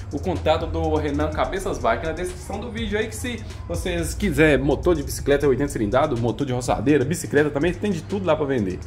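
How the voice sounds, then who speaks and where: With faint music in the background, a man rushes along at a very fast pace with hardly any pauses. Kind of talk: casual vlog chat. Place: workshop. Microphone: phone near.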